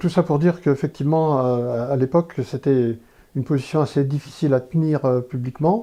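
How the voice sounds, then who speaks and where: Over a quiet background, a man with a dark, mellow tone and medium pitch talks at a moderate pace. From France, Corrèze. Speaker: interviewee, former activist. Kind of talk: testimony. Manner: halting.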